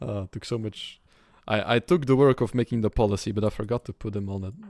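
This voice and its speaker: A man talks at a very fast clip with a fairly low pitch. The sound is dry and close, without any echo. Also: ordinary pitch variation. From Belgium. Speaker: video game streamer. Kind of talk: live gameplay commentary. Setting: live stream. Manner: casual, with many fillers.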